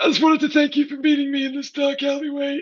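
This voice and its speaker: Delivered in a put-on character voice, the speech is very fast and high-pitched with a monotone, flat intonation. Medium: stage play. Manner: polite, hesitant.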